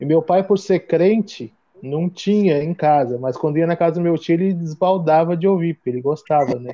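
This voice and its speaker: This man has a São Paulo accent and a high pitch. He keeps a moderate pace with ordinary pitch variation. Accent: Paulistano Brazilian Portuguese. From São Paulo, Brazil (east side). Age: 30s. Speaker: hardcore band member living abroad. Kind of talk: casual chat.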